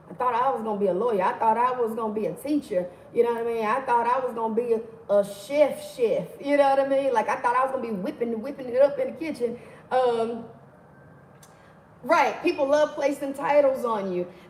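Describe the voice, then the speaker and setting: High-pitched, animated woman at a fairly quick pace, with ordinary pitch variation and noticeable background noise. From Mississippi, US South. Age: 40s. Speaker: livestream host, motivational speaker. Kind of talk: casual livestream teaching. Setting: livestream.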